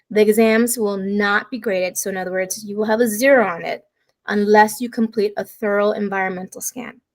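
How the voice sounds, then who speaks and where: Speaking at a fairly quick pace, a woman with a fairly high pitch keeps her intonation fairly even while her loudness swings widely. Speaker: college instructor. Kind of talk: lecture. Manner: fast.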